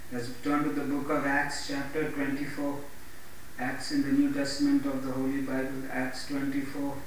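In a room with strong echo and light background noise, a man speaks at a moderate pace with monotone, flat intonation. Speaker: pastor and evangelist. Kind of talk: Bible reading with preaching intro. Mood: earnest devotional. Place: home room.

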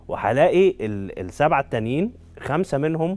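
The speaker has a Cairo accent and lively intonation. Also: man. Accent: Egyptian Arabic (Cairo). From Egypt. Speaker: neurosurgeon and spine professor; guest. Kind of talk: medical talk show interview. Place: studio. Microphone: lapel.

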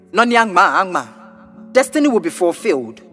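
A man speaks with music in the background. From Ghana. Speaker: spoken word poet. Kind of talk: spoken word poetry over a beat.

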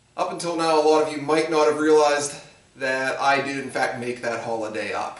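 A man talks at a fairly quick pace. Room echo is audible. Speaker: shop teacher. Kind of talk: lecture to students. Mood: dry humorous. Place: workshop. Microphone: camera far.

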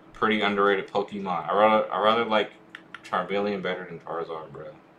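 A quiet man talks at a very fast pace in a fairly low pitch, with monotone, flat intonation. His loudness swings widely, and there is noticeable background noise. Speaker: gaming streamer. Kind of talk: live gameplay stream chat. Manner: quiet, hard to hear; occasional stutter.

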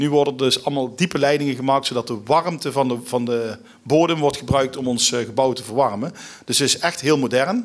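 Against a quiet background, a man speaks at a fairly quick pace with ordinary pitch variation. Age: 40s. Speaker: local government alderman; guest. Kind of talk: interview. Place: stage. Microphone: podium.

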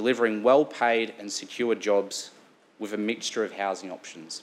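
The speaker talks at a moderate pace with an Australian accent. Pitch varies in an ordinary way. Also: man. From Sunshine Coast, Queensland, Australia; Queensland, Australia. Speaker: local councillor. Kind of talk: formal speech. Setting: council chamber. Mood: earnest, grateful. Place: meeting room.

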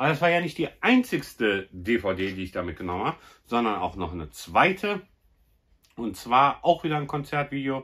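Over a quiet background, a man talks at a moderate pace with very wide pitch swings. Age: 40s. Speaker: YouTuber, film collector; YouTuber. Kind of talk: casual vlog presentation. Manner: animated. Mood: happy, enthusiastic about finds. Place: home room. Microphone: phone near.

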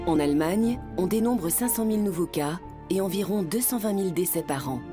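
A woman speaks with lively intonation. Clear music plays behind her. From France. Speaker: voice actor. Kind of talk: documentary narration. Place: booth. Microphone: studio mic.

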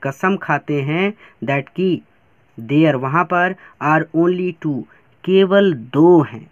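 A man's voice with ordinary pitch variation. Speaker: teacher. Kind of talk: lecture. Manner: slow.

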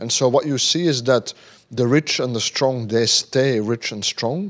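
Against a quiet background, a man speaks fairly slowly with ordinary pitch variation. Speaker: invited lecturer. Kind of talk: lecture. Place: hall. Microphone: handheld.

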